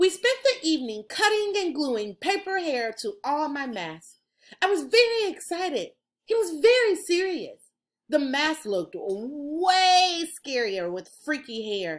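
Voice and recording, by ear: A woman talks at a slow pace, her high pitch moving in big swings.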